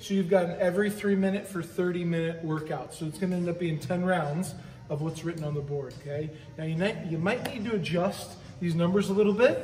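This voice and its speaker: In a room with audible echo and light background noise, a man talks at a moderate pace with a high pitch and ordinary pitch variation. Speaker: fitness coach. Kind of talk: workout explanation. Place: gym. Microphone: camera far.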